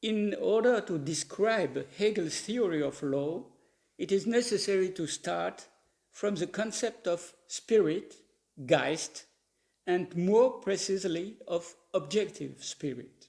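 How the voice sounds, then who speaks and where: A man with a French accent and a high pitch speaks at a very slow pace with ordinary pitch variation. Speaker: professor of legal philosophy. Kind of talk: lecture. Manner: reading from a paper, formal.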